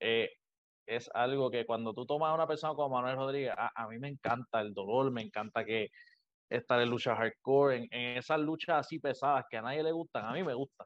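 This man has an ordinary speaking voice at a medium pitch. His pace is fairly quick. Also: ordinary pitch variation. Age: 20s. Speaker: professional wrestler. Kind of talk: interview. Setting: video call.

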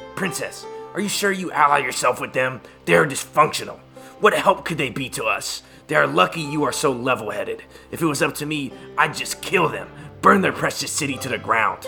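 Clear music plays behind a man who speaks at a fairly quick pace and a fairly high pitch. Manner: cocky, threatening, contemptuous.

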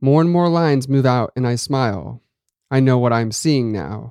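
Dark, mellow male voice at medium pitch and a moderate pace, against a quiet background. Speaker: horror story podcast host and narrator. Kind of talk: scripted narration of a horror story.

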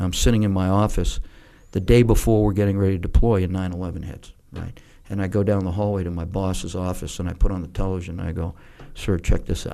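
Speaking with an American accent, a man has a very deep, low pitch and a dark, mellow tone. His pace is fairly quick. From New Hampshire, US. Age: 50s. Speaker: retired army general. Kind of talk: interview storytelling.

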